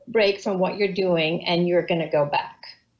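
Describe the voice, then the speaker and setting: A woman with a plain, everyday voice speaks at a medium pitch and a moderate pace, with fairly even intonation. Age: 60s. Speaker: communications professional and author. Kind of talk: casual interview. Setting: video call.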